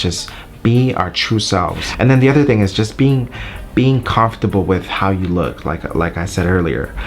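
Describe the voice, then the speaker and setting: Noticeable noise is present in the background. A man talks at a moderate speed with lively intonation. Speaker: YouTuber and wedding videographer. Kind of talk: casual vlog talk. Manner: hesitant, many fillers.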